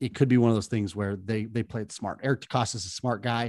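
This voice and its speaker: In a very clean recording with a silent background, a man with a fairly low pitch talks at a fairly quick pace. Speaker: podcast co-host. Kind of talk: casual chat.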